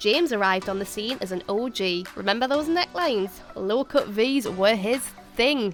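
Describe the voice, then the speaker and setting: Over music in the background, an upbeat voice speaks at a moderate pace with lively intonation. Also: woman, fairly high pitch for a woman. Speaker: quiz show host. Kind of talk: TV quiz show hosting.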